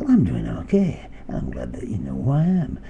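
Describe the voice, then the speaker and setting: A man puts on a character voice at a fairly quick pace, with clear background noise behind him. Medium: read story. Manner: chatty, sweet-talking.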